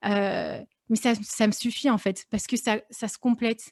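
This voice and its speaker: A woman speaks at a fairly slow pace with fairly even intonation. The recording is very clean, with a silent background. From France, Lyon. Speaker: fashion professional. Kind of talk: podcast interview. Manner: hesitant, many fillers.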